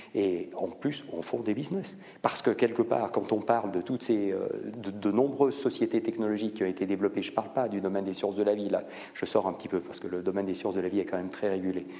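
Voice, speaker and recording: A man talks at a very fast pace in a fairly low voice with ordinary pitch variation. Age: 50s. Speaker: biotech foundation director and professor. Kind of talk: public lecture with Q&A. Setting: conference hall with audience.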